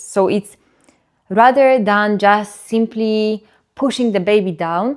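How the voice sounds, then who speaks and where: A woman with a non-native accent speaks at a medium pitch with ordinary pitch variation. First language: not English. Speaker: birth educator. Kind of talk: educational talk. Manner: halting, with repetitions and fillers.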